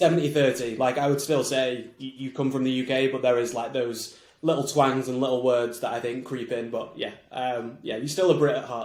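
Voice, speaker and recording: A man talks in a Mancunian accent with hardly any pauses. The room echo is audible. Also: medium pitch for a man. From Manchester, England. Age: 20s. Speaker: marketing agency founder. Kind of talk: podcast interview. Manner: fast when excited.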